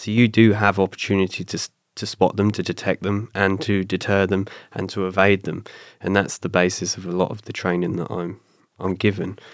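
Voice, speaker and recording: Fairly quick delivery in a slight southern English accent, with monotone, flat intonation. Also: man, fairly low pitch for a man, very clean recording, silent background. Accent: British, slight-to-moderate southern English. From south coast of England. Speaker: retired special forces commando and bodyguard. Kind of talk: casual interview chat. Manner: conversational, storytelling.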